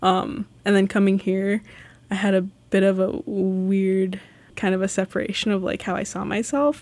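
In an ordinary speaking voice, a woman with an American accent talks at a medium pitch and moderate pace with fairly even intonation, on a very clean recording with a silent background. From Alaska (Sitka), early childhood in Los Angeles. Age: 20s. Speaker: city maintenance worker. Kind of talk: interview. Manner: casual with frequent fillers and laughter.

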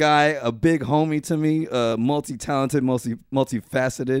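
On a very clean recording with a silent background, a man uses an ordinary speaking voice at a fairly high pitch and a fairly quick pace. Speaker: podcast host. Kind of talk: casual chat.

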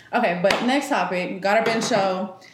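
A woman is speaking with audible room echo. Noticeable background noise runs behind her. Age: 20s. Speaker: podcast co-host. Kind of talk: casual chat.

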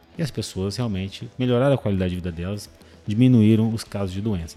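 Speaking with ordinary pitch variation, a man uses a fairly low voice with a dark, mellow tone. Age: 40s. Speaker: cardiologist. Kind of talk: interview. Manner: halting.

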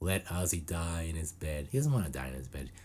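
A man speaks with a very deep, low pitch, a somewhat breathy quality, and ordinary pitch variation. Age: 40s. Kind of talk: casual chat.

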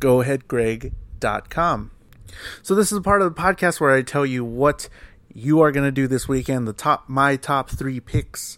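Recorded very cleanly against a silent background, a man with an American accent has a plain, everyday voice, fairly high in pitch with ordinary pitch variation, and speaks at a fairly slow pace. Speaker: podcast host and musician. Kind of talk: podcast interview.

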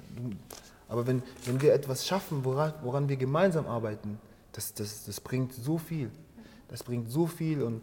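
At a fairly slow pace, a man talks in a somewhat breathy voice with a dark, mellow tone and medium pitch, his pitch varying normally between long, frequent pauses. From Angola, grew up in Germany from age 7. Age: 30s. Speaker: dancer and founder of a hip-hop organisation. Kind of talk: interview. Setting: dance studio. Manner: halting, many fillers.

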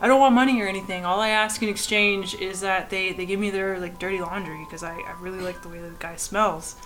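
A woman with a Canadian accent at a very fast pace, hardly any pauses, fairly even intonation and big swings in loudness, music playing behind her. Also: medium pitch for a woman. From Canada. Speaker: artist. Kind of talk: casual chat.

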